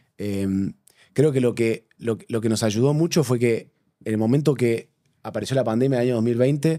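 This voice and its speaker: A man's medium-pitched voice, dark and mellow in tone, with a Rioplatense accent, ordinary pitch variation and a moderate pace. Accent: Rioplatense Spanish, mistaken for Argentine. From Uruguay. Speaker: bank digital transformation manager. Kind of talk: interview conversation.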